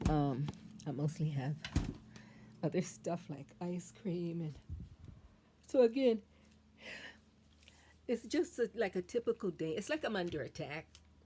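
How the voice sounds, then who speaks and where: A woman speaks at a fairly slow pace and a fairly low pitch, her voice somewhat breathy with a dark, mellow tone. Her pitch swings very widely, and long, frequent pauses break up her speech. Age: 60s. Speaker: great-grandmother vlogger. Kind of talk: casual talk to camera.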